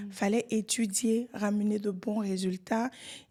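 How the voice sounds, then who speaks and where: Speaking at a very slow pace, a woman uses a fairly high pitch, fairly even intonation, a somewhat breathy delivery and a dark, mellow tone. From Côte d'Ivoire. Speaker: real estate entrepreneur. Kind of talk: podcast interview.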